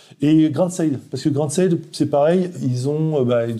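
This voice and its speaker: Ordinary pitch variation moves through the dark, mellow tone of a man speaking. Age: 40s. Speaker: brewery founder, former navy sailor. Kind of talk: interview. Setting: at the brewery premises. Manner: hesitant, many fillers.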